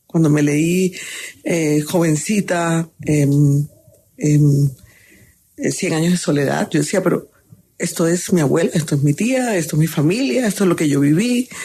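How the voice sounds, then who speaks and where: A woman speaks at a fairly slow pace in a dark, mellow tone with lively intonation. Her loudness is very even. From Colombian Caribbean coast (Sincé, Sucre). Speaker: chef. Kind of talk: interview.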